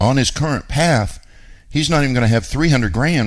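With some vocal fry, a man speaks at a fairly quick pace. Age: 50s. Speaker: radio show host, real estate investor. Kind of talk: talk radio monologue.

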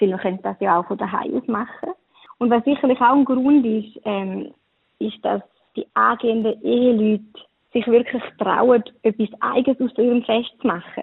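An unremarkable speaking voice from a woman, fairly high in pitch, with ordinary pitch variation and a moderate pace. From eastern Switzerland. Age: 20s. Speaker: wedding planner. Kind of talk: interview.

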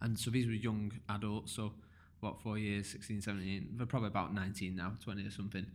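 With audible room echo, a man talks at a moderate pace in a fairly low, monotone voice with flat intonation. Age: 30s. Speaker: podcast host. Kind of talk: casual interview.

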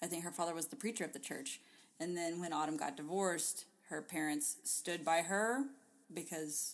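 In a normal speaking voice, a woman talks at a moderate pace, her fairly low pitch showing ordinary variation. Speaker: podcast co-host. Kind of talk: casual chat.

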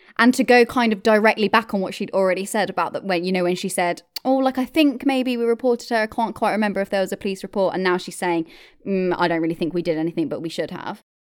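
A woman speaks at a very fast pace in a very clean recording with a silent background. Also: medium pitch for a woman, ordinary pitch variation. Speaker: true crime podcast host. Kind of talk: true-crime narration, scripted-style storytelling. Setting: podcast recording. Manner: steady, measured, clear.

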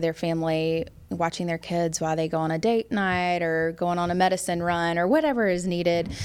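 A woman with an American accent uses a normal speaking voice, fairly low in pitch, at a moderate pace with fairly even intonation. The recording is very clean, with a silent background. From US South, Memphis, Tennessee. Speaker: tech saleswoman and woodworking business owner. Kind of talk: casual interview.

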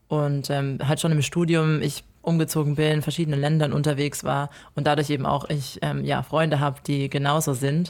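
A moderate pace with hardly any pauses, on a very clean recording with a silent background. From Germany. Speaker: podcast co-host. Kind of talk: casual chat.

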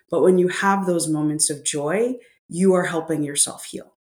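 An unremarkable speaking voice from a woman, fairly low in pitch, with ordinary pitch variation. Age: 40s. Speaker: author and grief expert. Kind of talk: interview conversation.

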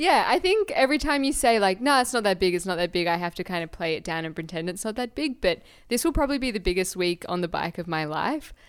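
With an Australian accent, a woman talks at a very fast pace with hardly any pauses, a medium pitch and very wide pitch swings, on a very clean recording with a silent background. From Australia, Canberra. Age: 20s. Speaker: cyclist and architectural designer. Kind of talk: casual chat.

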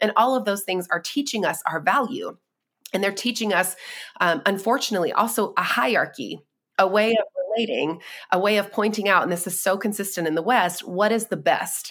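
On a very clean recording with a silent background, a woman with an American accent talks at a fairly quick pace in an unremarkable speaking voice, at a medium pitch with ordinary pitch variation. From North Carolina, US South. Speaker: writer and speaker. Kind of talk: interview conversation.

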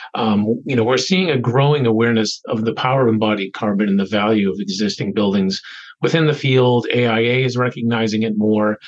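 Against a quiet background, a man with an unremarkable speaking voice talks fairly quickly at a medium pitch with ordinary pitch variation. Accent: American. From Boston area. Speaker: nonprofit executive director. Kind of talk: interview.

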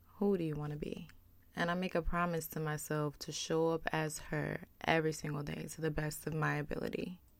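A woman with a very deep, low pitch talks at a moderate pace with fairly even intonation. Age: 20s. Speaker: podcast host. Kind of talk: personal monologue. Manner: casual, conversational.

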